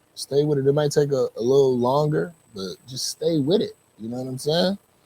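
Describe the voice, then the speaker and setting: A man's fairly high, somewhat breathy voice with a dark, mellow tone, lively intonation, big swings in loudness and a fairly quick pace, in a dry, close sound with no echo. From St. Louis. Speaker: music show host. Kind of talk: interview. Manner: animated.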